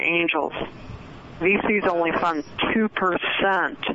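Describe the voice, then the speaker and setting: Noticeable background noise sits under speech with fairly even intonation. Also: woman. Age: 60s. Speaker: author and networking expert. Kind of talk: radio interview. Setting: phone call.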